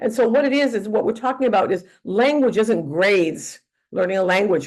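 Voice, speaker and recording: A woman with a Northeast US accent talks at a fairly quick pace in a fairly high pitch, her intonation lively against a quiet background. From northeastern US. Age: 80s+. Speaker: teacher trainer. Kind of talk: lecture. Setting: webinar. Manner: halting.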